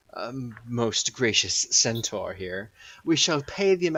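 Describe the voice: The reading aloud is plain, yet the intonation is lively.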